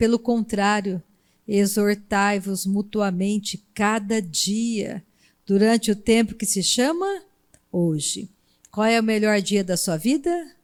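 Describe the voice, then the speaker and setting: An unremarkable speaking voice from a woman at a medium pitch with ordinary pitch variation, on a very clean recording with a silent background. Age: 60s. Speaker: preacher. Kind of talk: sermon.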